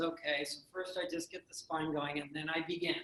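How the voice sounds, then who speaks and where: A high-pitched man talks at a moderate pace through noticeable background noise. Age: 60s. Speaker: breathing and wellness instructor. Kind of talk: seminar talk with Q&A. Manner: animated.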